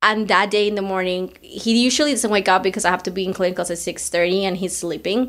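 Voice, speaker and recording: Hardly pausing at all, a woman talks at a very fast pace. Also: medium pitch for a woman. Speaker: podcast co-host, nursing student. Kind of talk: casual chat. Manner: animated.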